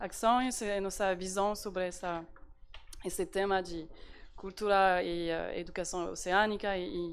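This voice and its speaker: The woman's pitch is medium and her intonation fairly even. She speaks at a fairly slow pace. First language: French (speaking Portuguese). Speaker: diplomat, embassy representative. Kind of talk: panel talk. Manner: halting, many fillers and repetitions.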